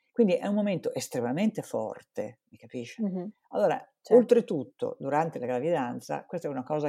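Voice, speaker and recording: In a dark, mellow tone, a woman speaks at a very fast pace with very wide pitch swings. The recording is very clean, with a silent background. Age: old. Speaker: psychologist. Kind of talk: interview.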